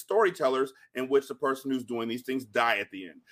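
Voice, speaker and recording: A man's fairly high voice, a plain, everyday voice, with lively intonation and a dry, close sound with no echo. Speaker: podcaster guest. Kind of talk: casual chat.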